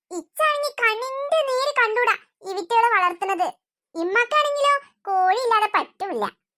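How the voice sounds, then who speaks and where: In a cartoonish character voice, a woman squeaks at an extremely high pitch. She keeps a moderate pace with lively intonation. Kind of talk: comic cartoon voice acting. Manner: chatty, gossipy.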